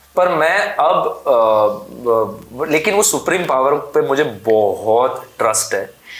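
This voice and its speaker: In a Gujarati accent, a man talks with hardly any pauses and very even loudness amid noticeable background noise. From Gujarat, India. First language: Gujarati (speaking Hindi). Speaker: actor. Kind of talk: interview.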